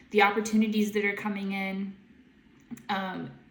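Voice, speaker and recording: Room echo is audible around a woman's medium-pitched voice. She speaks in a monotone, flat way. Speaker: intuitive guide and tarot reader. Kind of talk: tarot reading to camera. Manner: halting, many fillers; casual, chatty.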